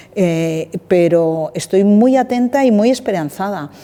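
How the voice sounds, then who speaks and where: A woman's voice over noticeable background noise. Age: 60s. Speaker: director of a vocational training organization. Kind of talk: interview conversation.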